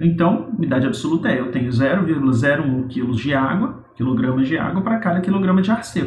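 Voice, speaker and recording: A man's very fast speech with very wide pitch swings, over noticeable background noise. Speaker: university lecturer. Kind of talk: recorded lecture. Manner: casual, explanatory.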